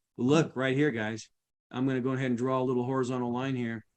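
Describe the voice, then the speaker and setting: Medium-pitched man with monotone, flat intonation. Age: old. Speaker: guest trading instructor. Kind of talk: tutorial. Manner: fast.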